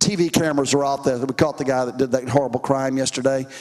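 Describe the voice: A man talks at a fast pace with a medium pitch. His intonation is fairly even and his tone slightly mellow.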